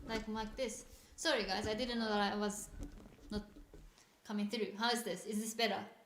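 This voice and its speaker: With audible room echo, a woman of fairly high pitch speaks at a moderate pace with fairly even intonation and long, frequent pauses. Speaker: wildlife show presenter. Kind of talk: live stream chat. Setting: studio. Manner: loud. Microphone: too quiet, not coming through.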